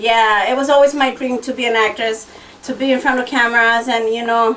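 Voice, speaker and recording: A woman's high-pitched voice with a slight Spanish accent, fairly even intonation and a fairly quick pace, over noticeable background noise. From Los Angeles, Salvadoran family. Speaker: TV actress and host. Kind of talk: radio interview.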